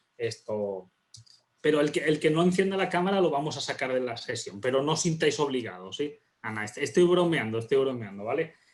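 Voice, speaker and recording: In a Spanish accent, a man with a fairly high voice talks at a fairly quick pace with lively intonation. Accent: Spanish (Spain). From Spain. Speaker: university dean, workshop speaker. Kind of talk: workshop lecture. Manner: casual, filler-heavy.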